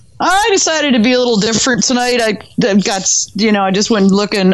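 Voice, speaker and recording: There is noticeable background noise. A woman talks at a fairly quick pace with lively intonation. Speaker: podcast co-host. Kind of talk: casual chat.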